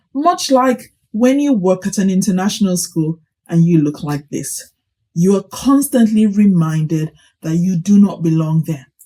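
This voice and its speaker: Her voice somewhat breathy with a dark, mellow tone, a woman speaks at a fairly slow pace with lively intonation. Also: medium pitch for a woman. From Nigeria (Kaduna). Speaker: teacher and vlogger. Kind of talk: vlog commentary. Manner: animated.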